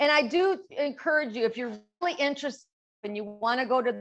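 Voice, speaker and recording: With an American accent and lively intonation, a woman speaks in a plain, everyday voice. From Chicago, US Midwest. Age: 60s. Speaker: social media marketing founder, former commercial real estate broker. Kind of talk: casual Q&A chat at a video-call event.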